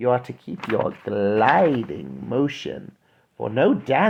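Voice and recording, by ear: Reading aloud in a natural voice, with ordinary pitch variation over a quiet background.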